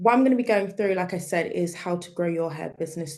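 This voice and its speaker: A woman with a British accent, fairly low in pitch, at a fairly quick pace with ordinary pitch variation. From UK. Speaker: digital marketing specialist. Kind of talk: webinar presentation.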